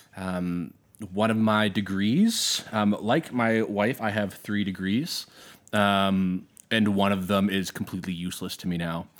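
A man with an Albertan accent talks at a fairly slow pace. His voice is fairly low, with fairly even intonation. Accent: Canadian (Alberta). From Southern Alberta, Canada. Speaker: high school teacher and musician. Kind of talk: casual chat.

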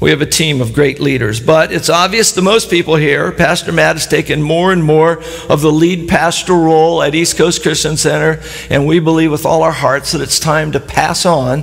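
With audible room echo and noticeable background noise, a man talks at a moderate pace and fairly high pitch. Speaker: pastor. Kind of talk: sermon. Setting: church with live audience. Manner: animated.

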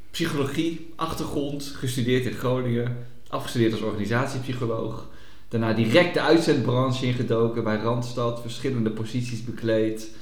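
The speech has fairly even intonation, heard through audible room echo and noticeable background noise. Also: man, medium pitch for a man, moderate pace. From Noordoostpolder, Netherlands. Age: 30s. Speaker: podcast co-host, psychologist. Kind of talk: casual chat.

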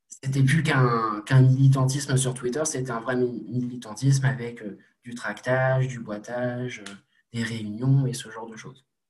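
At a fairly slow pace, a man speaks in a somewhat breathy voice of medium pitch, flat and monotone in intonation, with big swings in loudness. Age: 20s. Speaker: young political activist. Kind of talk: interview.

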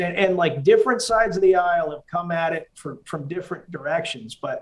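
An ordinary speaking voice from a man with an American accent, at a moderate pace, with ordinary pitch variation. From Massachusetts, US. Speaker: army veteran. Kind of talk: casual interview conversation.

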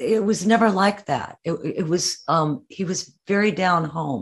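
A woman talks at a very slow pace with ordinary pitch variation. Her voice is somewhat breathy. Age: 80s+. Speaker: musician and author. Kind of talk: interview.

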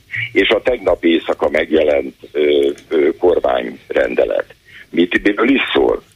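Noticeable background noise is present. Over it, a man talks very slowly. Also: very even loudness. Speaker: healthcare policy expert. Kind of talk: phone-in interview.

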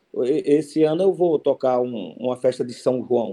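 A man talks with lively intonation in a dark, mellow tone. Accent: Cearense. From Ceará interior, Brazilian Northeast (Cariús). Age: 50s. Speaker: forró musician, accordionist. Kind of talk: interview. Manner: halting, many repetitions.

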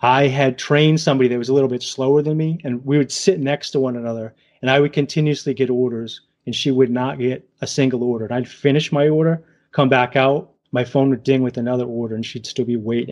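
In a New England accent, a man at medium pitch talks at a very fast pace with fairly even intonation. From New England, southern Massachusetts / Rhode Island. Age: 40s. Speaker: gig worker and YouTuber. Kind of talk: casual interview.

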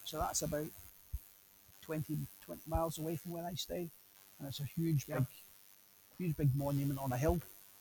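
A man with a Scottish accent speaks in a dark, mellow tone with fairly even intonation. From Scotland. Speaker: police officer. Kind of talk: casual interview.

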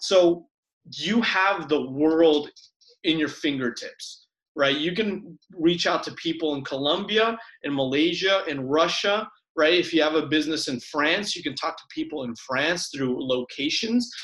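An American accent colors an unremarkable speaking voice that goes fairly slowly, its pitch varying in an ordinary way. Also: man, fairly high pitch for a man. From Ecuador, then Florida from age 11. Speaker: entrepreneur, social media marketer. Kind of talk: interview. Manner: casual.

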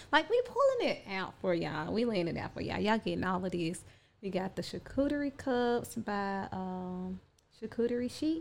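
Woman of medium pitch, lively intonation, moderate pace. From Chattanooga, Tennessee. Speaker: podcast co-host, fashion designer and hairstylist. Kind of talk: casual chat.

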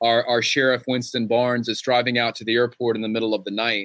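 Speaking at a medium pitch, a man talks with a Southern US accent. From western North Carolina. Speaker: novelist. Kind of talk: author interview; reading aloud. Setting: bookstore with live audience.

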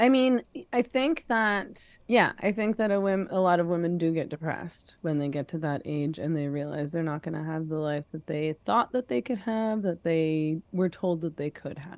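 A woman's unremarkable speaking voice, fairly low in pitch, with a Canadian accent, lively intonation, a moderate pace and hardly any pauses. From Canada, Vancouver. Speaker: feminist writer. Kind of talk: interview conversation.

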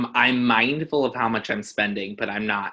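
Here is a man with an unremarkable speaking voice, medium in pitch. He moves at a fairly quick pace with ordinary pitch variation. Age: 20s. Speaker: real estate agent. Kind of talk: interview. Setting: podcast interview.

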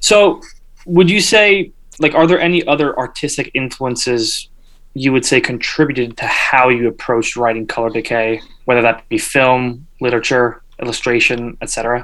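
Here a man with an American accent has an ordinary speaking voice at a medium pitch, with ordinary pitch variation and a moderate pace. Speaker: music podcast co-host. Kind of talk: casual interview.

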